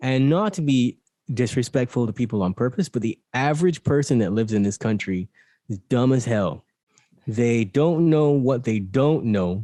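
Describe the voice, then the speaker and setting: Lively intonation marks this man's medium-pitched voice, which has a dark, mellow tone and a moderate pace. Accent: slight Barbadian. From Barbados. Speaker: mindfulness and meditation coach. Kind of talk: casual chat.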